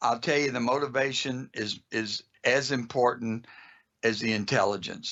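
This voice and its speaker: A man speaks at a moderate pace. He has a normal speaking voice. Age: 60s. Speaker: automotive school owner. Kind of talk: podcast interview.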